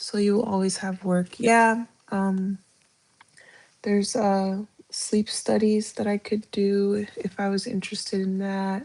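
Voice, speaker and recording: Her medium-pitched voice moves at a fairly slow pace, and this woman's intonation stays monotone and flat. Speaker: live streamer and respiratory therapy student. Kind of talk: casual live stream chat. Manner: halting, many fillers.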